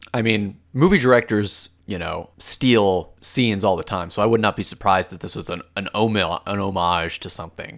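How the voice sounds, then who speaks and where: With a plain, everyday voice, a man at a fairly low pitch speaks at a moderate pace with hardly any pauses, big swings in loudness and ordinary pitch variation, on a very clean recording with a silent background. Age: 20s. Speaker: podcast co-host, movie reviewer. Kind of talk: casual chat.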